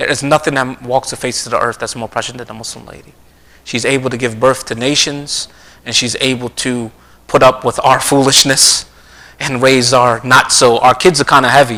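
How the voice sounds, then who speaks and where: He speaks in a New Jersey accent at a medium pitch for a man. His loudness swings widely. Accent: New Jersey American. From US Northeast, South Jersey. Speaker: Islamic lecturer. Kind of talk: religious lecture. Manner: fast; animated.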